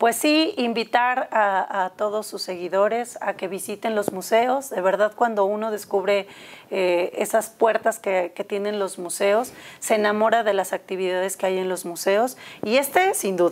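A woman's rather slow speech with normal rises and falls in pitch. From Mexico. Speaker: museum educator. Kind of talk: studio interview. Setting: studio. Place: studio. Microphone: lapel.

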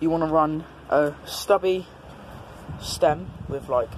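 A man's voice with noticeable background noise. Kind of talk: casual bike check talk. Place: street. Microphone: phone near.

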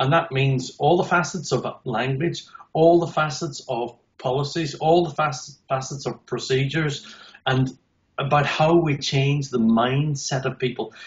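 A man with an Irish accent talks at a fairly slow pace, his fairly high pitch somewhat breathy and his intonation fairly even. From Northern Ireland. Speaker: accessibility consultant. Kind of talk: interview answer. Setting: video call. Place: home room. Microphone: video call.

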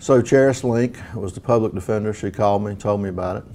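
A man talks fast with a dark, mellow tone and vocal fry. His pitch barely moves.

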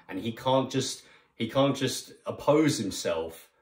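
A man's somewhat breathy voice at a fairly slow pace, with ordinary pitch variation, audible room echo and a quiet background. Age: 30s. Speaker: online preacher. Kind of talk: sermon. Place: home room. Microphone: phone near.

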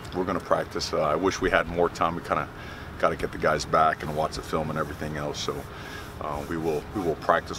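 A man with a very deep, low pitch talks at a very fast pace in an American accent. His intonation is fairly even, and the sound is dry with no echo but has noticeable background noise. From Miami, Florida. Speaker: college football head coach. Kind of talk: press conference. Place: open country. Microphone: handheld.

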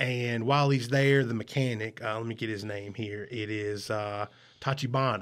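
Against a quiet background, a man talks with a Southern US accent and fairly even intonation. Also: moderate pace. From US South. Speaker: podcast host. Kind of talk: casual chat. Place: home room. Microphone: studio mic.

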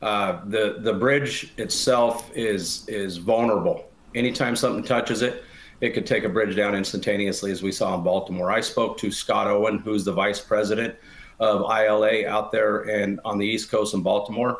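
A man speaks at a moderate pace with fairly low pitch and fairly even intonation. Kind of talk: interview answer. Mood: serious, somber. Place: home room. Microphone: video call.

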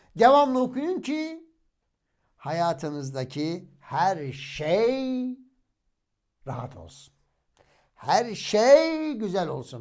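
The man speaking makes very wide pitch swings. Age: 40s. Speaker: religious YouTuber, hafiz. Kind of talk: religious storytelling monologue.

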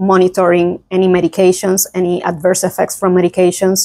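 A woman with a Puerto Rican accent, medium pitch and monotone, flat intonation at a moderate pace, the sound dry with no echo against a quiet background. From Puerto Rico, San Juan. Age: 20s. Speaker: physician; guest. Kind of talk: interview. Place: meeting room.

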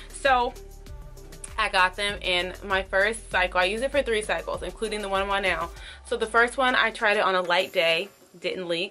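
Over faint music in the background, a woman talks at a moderate pace. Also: ordinary pitch variation. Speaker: lifestyle vlogger. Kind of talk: casual vlog chat. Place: bathroom.

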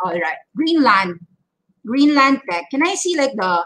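A woman's voice swings very widely in pitch, with a bright, sharp tone. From Philippines. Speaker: stock trading educator; market commentator host. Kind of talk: market update livestream. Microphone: webcam.

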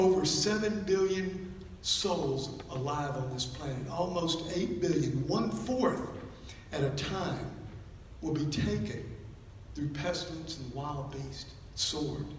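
Speaking at a very slow pace with long, frequent pauses and ordinary pitch variation, the voice carries audible room echo over light background noise. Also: man. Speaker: preacher. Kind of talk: sermon. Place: church.

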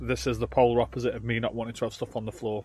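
A man's voice with a dry sound and no echo. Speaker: van life vlogger. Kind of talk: casual vlog chat. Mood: mildly frustrated, resigned. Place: car. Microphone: phone near.

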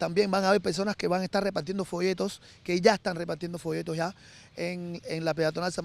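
A man's high-pitched voice at a fairly quick pace, dry with no echo. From Cuba. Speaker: musician. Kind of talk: interview. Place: garden. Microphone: handheld.

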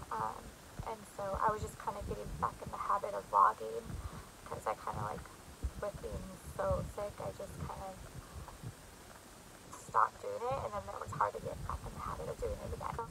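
A woman talks at a fairly quick pace. The sound is dry with no echo, and background noise is noticeable. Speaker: vlogger. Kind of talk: casual vlog chat. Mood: apologetic, warm. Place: home room. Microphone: phone near.

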